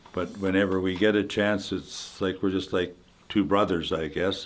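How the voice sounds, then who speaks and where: A man with a Canadian Prairie accent talks at a fairly slow pace with a fairly low pitch. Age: 80s+. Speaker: retired hockey player. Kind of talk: interview. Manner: halting.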